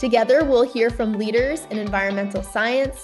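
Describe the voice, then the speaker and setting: Fairly even intonation over music in the background. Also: woman. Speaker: podcast host. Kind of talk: podcast intro and interview questions.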